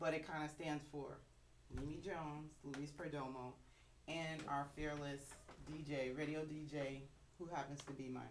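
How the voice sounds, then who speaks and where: There is noticeable background noise. The room adds audible echo too. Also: woman. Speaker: bassist and music teacher. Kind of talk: casual chat. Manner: loud.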